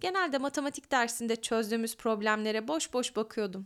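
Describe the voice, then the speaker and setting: On a very clean recording with a silent background, a woman with an unremarkable speaking voice talks at a moderate pace in a fairly high pitch with lively intonation. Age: 20s. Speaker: podcaster and graduate student. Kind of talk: reading aloud her own letter.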